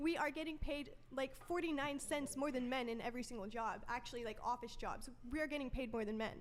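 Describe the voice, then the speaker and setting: A woman with an American accent, high pitch, ordinary pitch variation and a fairly quick pace. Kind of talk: heated debate. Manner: calm.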